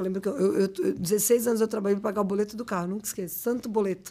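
This woman talks at a very fast pace. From Brazil, São Bernardo (São Paulo area); São Paulo, Brazil. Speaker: fashion brand owner and designer; podcast guest. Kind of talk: interview, casual chat. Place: studio. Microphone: studio mic.

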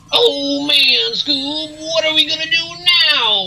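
The speaker uses a put-on character voice at a high pitch. The pace is fairly slow. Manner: panicked, whiny.

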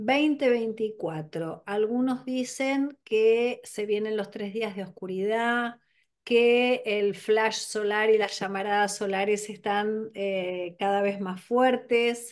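A woman with a Rioplatense accent and a fairly high pitch speaks at a very slow pace with ordinary pitch variation against a quiet background. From Argentina. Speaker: podcast host. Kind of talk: interview. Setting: video call. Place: home room. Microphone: video call.

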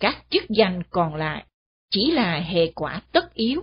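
Somewhat breathy and very slow, the voice carries lively intonation. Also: woman. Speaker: radio commentator. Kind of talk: scripted commentary. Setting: studio.

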